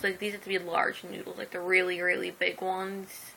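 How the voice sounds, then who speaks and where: A woman with a medium-pitched voice and a bright, sharp tone talks at a moderate pace. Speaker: vlogger. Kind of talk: casual chat. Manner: chatty, rambling talk.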